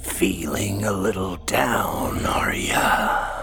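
Over loud music in the background, a man does a raspy put-on character voice at a fairly low pitch and a very slow pace. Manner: creepy, taunting.

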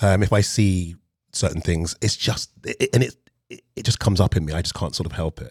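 A man with a London accent speaks at a fairly quick pace in a very deep, low voice, somewhat breathy, with ordinary pitch variation and a dry, close sound with no echo on a very clean recording over a silent background. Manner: calm.

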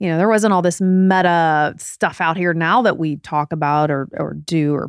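A woman's ordinary speaking voice, fairly low in pitch with fairly even intonation, on a very clean recording with a silent background. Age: 40s. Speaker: podcast host, former TV broadcaster. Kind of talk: casual chat. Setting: at home in bed.

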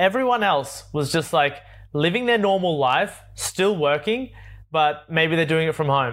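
In an Australian accent, a man speaks at a fairly slow pace with a fairly high pitch. His intonation is lively while his loudness stays very even. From Australia, Sydney. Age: 20s. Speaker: travel content creator. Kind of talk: interview. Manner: animated.

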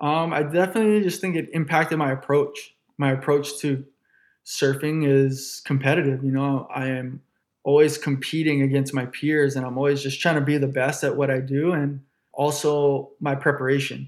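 Here a man speaks with a Hawaiian accent at a moderate pace. His fairly high voice stays monotone and flat. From Honolulu, Hawaii. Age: 20s. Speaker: professional surfer. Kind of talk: interview conversation.

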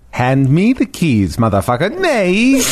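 A put-on character voice at middle pitch, with a Swedish accent. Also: fairly slow pace. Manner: threatening, demanding.

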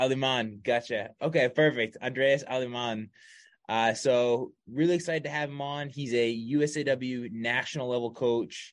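Against a quiet background, a man with an ordinary speaking voice speaks at a moderate pace in a medium pitch with fairly even intonation. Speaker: podcast host. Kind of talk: casual interview chat. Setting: video call. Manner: casual, friendly.

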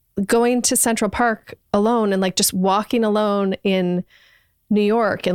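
A woman with an ordinary speaking voice talks at a moderate pace and medium pitch, her pitch varying in an ordinary way, in a dry, close sound with no echo. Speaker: book club friend. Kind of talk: casual chat.

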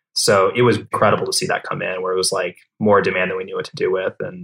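Talking at a very fast pace, a man speaks in an American accent. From US Midwest, Minnesota. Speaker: startup founder and CEO. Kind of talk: casual interview. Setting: home office, remote.

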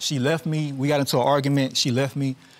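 Speaking in a Louisiana accent at a moderate pace, the man has a medium pitch and a monotone, flat intonation. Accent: Louisiana Southern US. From Louisiana, US South. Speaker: husband in divorce case. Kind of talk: courtroom testimony.

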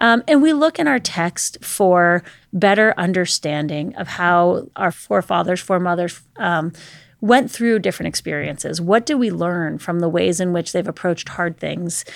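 A woman with an American accent speaks in a normal speaking voice at a moderate pace, with a fairly low pitch and ordinary pitch variation. The recording is very clean, with a silent background. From Pittsburgh, Pennsylvania. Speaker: trauma counselor. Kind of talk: interview.

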